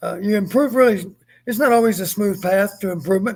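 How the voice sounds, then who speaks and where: A high-pitched man with an American accent talks at a very fast pace on a very clean recording with a silent background. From Texas. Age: 70s. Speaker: retired football coach. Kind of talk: live stream postgame chat.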